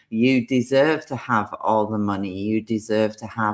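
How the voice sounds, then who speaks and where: Someone with a Yorkshire accent speaks at a fairly slow pace in a very clean recording with a silent background. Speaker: tarot card reader. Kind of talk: live-stream card reading. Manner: animated.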